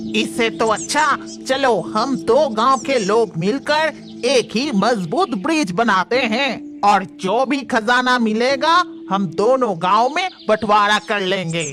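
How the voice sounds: A cartoonish character voice with a fairly high pitch goes at a fairly slow pace while clear music plays in the background.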